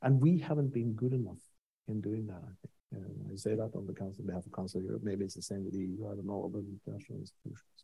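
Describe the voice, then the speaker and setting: Talking very fast in a Norwegian accent, a man has a fairly low pitch, a dark, mellow tone, vocal fry and big swings in loudness. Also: ordinary pitch variation. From Norway. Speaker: senior international official. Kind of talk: panel discussion.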